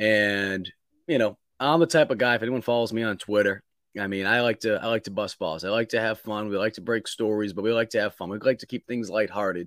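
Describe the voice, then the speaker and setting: Very fast and fairly low in pitch, a man speaks with an American accent. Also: ordinary pitch variation, very clean recording, silent background. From Boston, US Northeast. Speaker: college football reporter. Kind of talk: casual chat.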